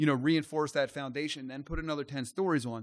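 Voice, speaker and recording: At a fairly quick pace, a speaker with an American accent uses a normal speaking voice on a very clean recording with a silent background. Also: man. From US, Maryland. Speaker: company CEO. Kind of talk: casual interview.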